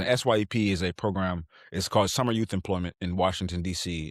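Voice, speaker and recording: At a fairly quick pace, a man speaks at a fairly low pitch with ordinary pitch variation, the sound dry and close with no echo on a very clean recording with a silent background. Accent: American. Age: 30s. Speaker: yoga teacher. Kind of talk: interview answer. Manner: casual, hesitant with fillers.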